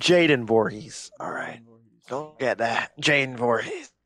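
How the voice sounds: Here a man puts on a raspy character voice in a Texas accent. His pitch is medium, it varies in an ordinary way, and his pace is moderate.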